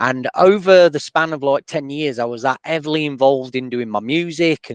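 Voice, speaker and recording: A man speaks in a Sheffield accent at a moderate pace, with a fairly high pitch and ordinary pitch variation. The recording is dry and close, with no echo. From northern England, Sheffield. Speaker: podcast host and DJ. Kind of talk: interview.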